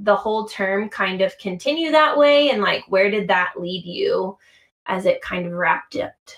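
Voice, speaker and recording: An unremarkable speaking voice from a woman at medium pitch, fairly slow in pace with lively intonation. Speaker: podcast host. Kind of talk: casual interview chat.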